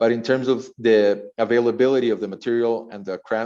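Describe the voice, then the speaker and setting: Against a quiet background, a man with a dark, mellow tone speaks in fairly even intonation. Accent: Spanish. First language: Spanish. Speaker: architect. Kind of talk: lecture. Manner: halting, many fillers and repetitions.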